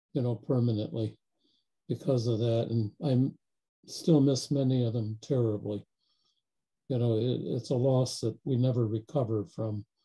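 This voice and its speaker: Somewhat breathy and dark, mellow in tone, a man speaks at medium pitch and a moderate pace with fairly even intonation and long, frequent pauses. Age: 70s. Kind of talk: group video call discussion.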